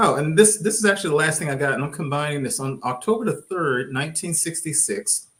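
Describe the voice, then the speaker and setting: With a slight Texas accent, the voice is bright and sharp, its intonation lively. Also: man. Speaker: podcast co-host. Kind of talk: casual panel discussion.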